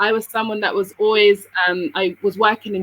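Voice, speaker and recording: With a British accent, a woman speaks at a moderate pace in a bright, sharp tone. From England, London, Sierra Leonean parents. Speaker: businesswoman living abroad. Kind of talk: interview.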